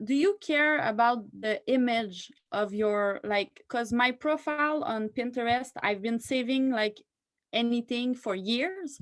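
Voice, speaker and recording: At a high pitch with ordinary pitch variation, a woman talks at a fairly slow pace. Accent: French. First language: French. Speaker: training attendee. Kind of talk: question in online training. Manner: halting.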